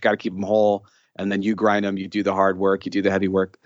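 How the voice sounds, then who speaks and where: Fairly quick speech from a man with an American accent. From Chicago, northwest side. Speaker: financial educator and musician. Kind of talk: casual interview.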